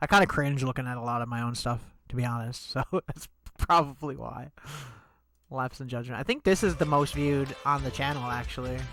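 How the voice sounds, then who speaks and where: A man speaks at a medium pitch with a Canadian accent. His intonation stays fairly even. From Canada. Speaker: musician and streamer. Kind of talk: casual livestream chat. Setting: livestream.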